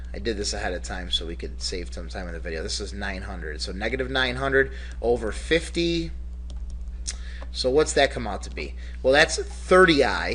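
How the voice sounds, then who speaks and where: Very deep and low, a man's voice carries a bright, sharp tone and vocal fry. His delivery is monotone and flat. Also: moderate pace. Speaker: math teacher. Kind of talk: lecture. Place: classroom. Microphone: webcam.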